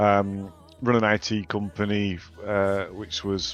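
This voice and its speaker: Over music in the background, a man with a northern English accent speaks in a fairly low, monotone, flat voice. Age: 40s. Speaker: game co-founder. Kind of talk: interview. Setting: live stream. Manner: hesitant, many fillers.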